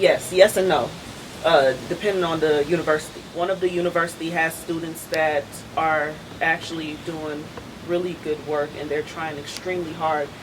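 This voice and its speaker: Over noticeable background noise, a woman speaks in a fairly low voice with monotone, flat intonation. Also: moderate pace. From Trinidad and Tobago, raised in New York and North Carolina. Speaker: adjunct professor of biology. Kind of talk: casual panel chat.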